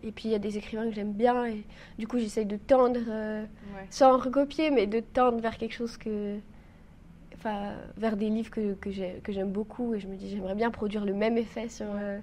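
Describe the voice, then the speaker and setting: A woman speaks at a moderate pace in a monotone, flat intonation. Her fairly high voice has a dark, mellow tone. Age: 20s. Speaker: trainee mountain guide, youtuber and writer. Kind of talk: casual interview.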